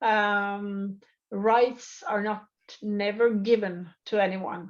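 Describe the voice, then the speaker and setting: In a Norwegian accent, a woman speaks at medium pitch in a monotone with flat intonation. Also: quiet background. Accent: non-native English, Norwegian. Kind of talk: interview. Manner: halting, many fillers.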